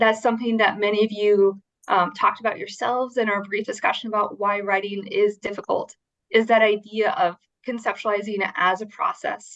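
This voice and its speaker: Pitched fairly high, a woman with a plain, everyday voice moves at a fairly quick pace with fairly even intonation. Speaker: writing instruction presenter. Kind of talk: workshop presentation.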